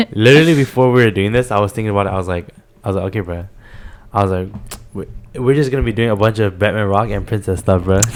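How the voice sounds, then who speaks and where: Talking at a very fast pace broken by long, frequent pauses, a man uses a fairly low pitch with ordinary variation. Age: young. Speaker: podcast host. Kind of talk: casual chat. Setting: home living room.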